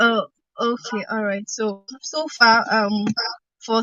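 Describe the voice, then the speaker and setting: Quiet and fairly high in pitch, a woman's voice comes through. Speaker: commentator on election cases. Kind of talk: panel discussion. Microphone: poor audio.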